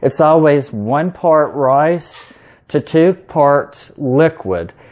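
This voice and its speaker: A man with a Southern US accent and a fairly high pitch. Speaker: home cook, cooking video host. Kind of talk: cooking tutorial. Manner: casual, with fillers.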